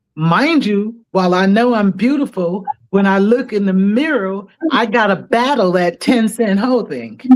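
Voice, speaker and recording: Here is a normal speaking voice. It moves at a fairly slow pace with ordinary pitch variation. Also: woman, medium pitch for a woman. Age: 60s. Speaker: podcast guest. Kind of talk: casual chat.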